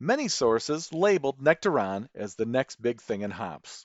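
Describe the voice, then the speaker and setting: A man with a Midwestern accent speaks with very wide pitch swings. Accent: Midwest US. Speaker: beer podcast host. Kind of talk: scripted narration. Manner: formal.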